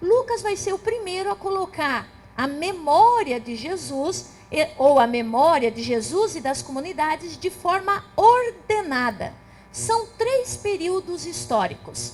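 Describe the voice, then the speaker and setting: A woman with an extremely high pitch, very wide pitch swings and a fairly slow pace. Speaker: theologian. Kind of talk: lecture.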